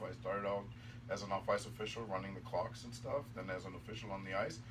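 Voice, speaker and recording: The man's medium-pitched voice stays monotone and flat at a moderate pace, with audible room echo. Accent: German. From Germany. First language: German. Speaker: hockey referee. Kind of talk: casual interview chat.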